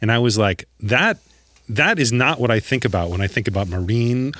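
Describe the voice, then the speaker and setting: A man's ordinary speaking voice with an American accent, medium pitch and ordinary pitch variation. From US suburbs, Midwest. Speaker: scientist podcast co-host. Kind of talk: casual chat.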